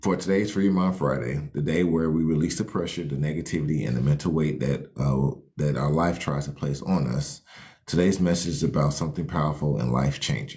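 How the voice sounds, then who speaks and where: Fairly quick delivery with ordinary pitch variation. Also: man, very deep, low pitch for a man. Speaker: life coach hosting a livestream. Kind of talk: motivational livestream talk. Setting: live stream. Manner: fast.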